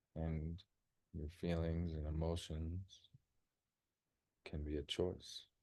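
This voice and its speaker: A man with an American accent, a very deep, low pitch, and a dark, mellow tone, somewhat breathy, monotone and flat, at a very slow pace with long, frequent pauses. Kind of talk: guided meditation. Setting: group gathering in a church. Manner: calm, rhythmic.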